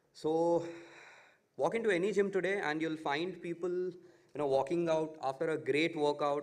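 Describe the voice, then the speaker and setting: There is audible room echo in this recording. The speaker is a man. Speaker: startup founder. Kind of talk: startup pitch presentation. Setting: conference stage with audience. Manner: hesitant, many fillers.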